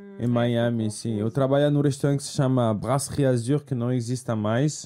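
Here a man speaks at a moderate pace in a dark, mellow tone with ordinary pitch variation. His loudness swings widely. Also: medium pitch for a man, hardly any pauses. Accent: French. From France. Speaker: bartender. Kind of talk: interview. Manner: halting.

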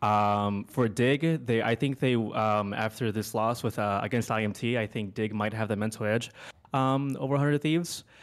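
On a very clean recording with a silent background, a man with an American accent speaks at medium pitch with ordinary pitch variation. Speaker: caller. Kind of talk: casual chat. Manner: halting.

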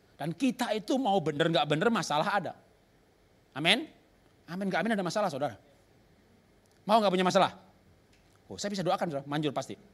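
A man's high-pitched, animated voice at a very fast pace, with lively intonation and long, frequent pauses. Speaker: pastor. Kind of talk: sermon.

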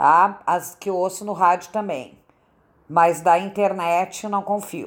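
A woman speaks at a very slow pace. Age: 60s. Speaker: retiree. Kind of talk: interview answers.

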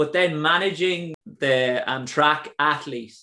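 With an Irish accent, a man talks with ordinary pitch variation. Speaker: podcast host. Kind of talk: casual interview chat. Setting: video call.

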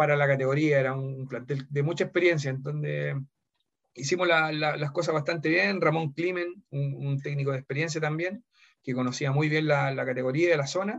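At a moderate pace, a man speaks with fairly even intonation and a fairly high pitch. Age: 40s. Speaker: former footballer and football coach. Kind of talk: interview. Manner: halting.

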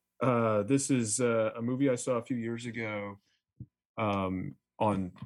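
A man speaks with an unremarkable speaking voice. His pitch sits fairly low and moves with ordinary variation. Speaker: label founder. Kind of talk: casual chat.

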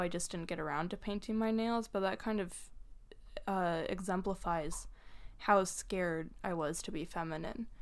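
With fairly even intonation, a woman uses a normal speaking voice at a medium pitch. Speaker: podcast co-host. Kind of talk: casual chat.

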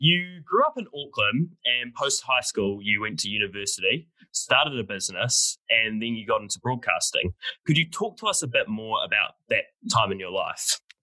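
A man with a New Zealand accent at a moderate pace, the sound dry and close with no echo. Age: young. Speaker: student podcast host. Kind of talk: interview.

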